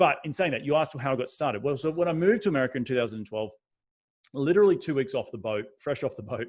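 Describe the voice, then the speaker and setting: Very fast delivery with lively intonation and an Australian accent over a quiet background. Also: man, fairly high pitch for a man. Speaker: real estate investor. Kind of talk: podcast interview. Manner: animated.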